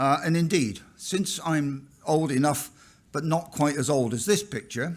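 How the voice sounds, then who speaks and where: This is a man talking with a West Country accent. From England, Somerset (West Country). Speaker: professor. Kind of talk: keynote lecture. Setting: conference stage with audience.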